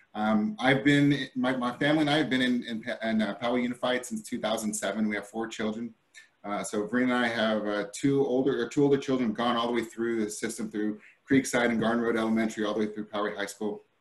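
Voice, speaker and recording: A man with an American accent talks at a very fast pace and a medium pitch, keeping his intonation fairly even. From California (Stockton). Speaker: school board candidate. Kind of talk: candidate forum statement. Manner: halting, many repetitions and fillers; hurried.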